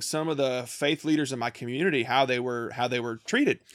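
A man with a Kentucky accent is heard on a very clean recording, with a silent background and dry, close sound without echo. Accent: Southern US (Kentucky). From rural small-town Kentucky. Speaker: missionary and podcast co-host. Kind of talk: casual chat. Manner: halting, many repeated words.

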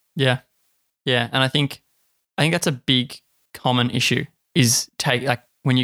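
A man with an Australian accent speaks at a moderate pace and medium pitch, in a very clean, dry, close recording with a silent background and no echo. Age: 20s. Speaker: podcast host. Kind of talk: casual chat.

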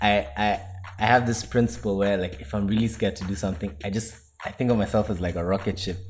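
A man talks at a very fast pace in a somewhat breathy voice. His pitch variation is ordinary. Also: fairly low pitch for a man. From Kenya. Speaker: university student. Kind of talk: casual chat.

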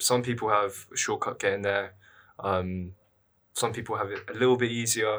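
In a London accent, a man speaks at medium pitch with a bright, sharp tone, fairly even intonation, and a moderate pace, in a very clean recording with a silent background. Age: 20s. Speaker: university student and columnist. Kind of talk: casual interview.

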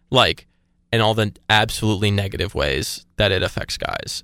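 Recorded very cleanly against a silent background, a man with an American accent uses an unremarkable speaking voice at a medium pitch. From US South, Atlanta suburbs. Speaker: college student. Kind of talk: casual chat.

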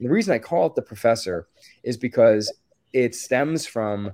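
Talking in a normal speaking voice, a man with an American accent keeps a medium pitch and a moderate pace. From Maryland, US. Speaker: musician and nonprofit founder. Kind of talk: interview answers.

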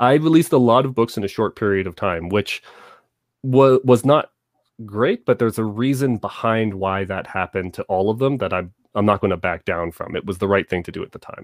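A man talks at a fairly quick pace with a Canadian accent, at medium pitch with ordinary pitch variation, in an ordinary speaking voice. The sound is dry and close with no echo, on a very clean recording with a silent background. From Southern Ontario, Canada. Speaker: author. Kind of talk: interview.

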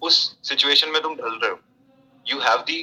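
The speaker is a man. His pace is moderate. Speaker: army officer cadet. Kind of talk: casual interview chat.

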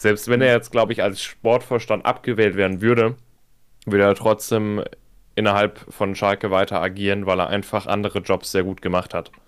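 Monotone, flat intonation from a man at fairly low pitch and moderate pace, on a very clean recording with a silent background. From Münsterland, Germany. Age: 20s. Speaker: football fan club member. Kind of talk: casual chat.

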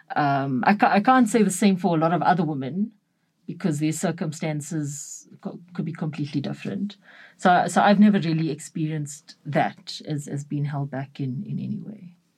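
Her voice is very deep and low for a woman, somewhat breathy, with lively intonation and big swings in loudness at a moderate pace. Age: 30s. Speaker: photographer. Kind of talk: interview. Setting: studio.

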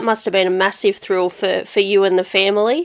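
Here a woman speaks with an Australian accent. Her intonation is fairly even. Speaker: podcast host, racing interviewer. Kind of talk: casual interview.

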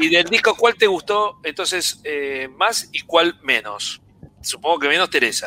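High-pitched and lively in intonation, a man speaks at a fairly slow pace in a dry, close sound with no echo. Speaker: podcast host. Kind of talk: live stream chat. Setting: live video stream.

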